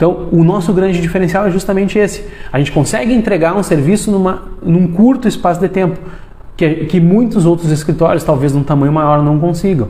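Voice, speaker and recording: Audible room echo and noticeable background noise around a man's high-pitched voice with ordinary pitch variation. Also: fairly quick pace, very even loudness. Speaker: lawyer. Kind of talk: live stream talk to lawyers. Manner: fast; hesitant, many fillers.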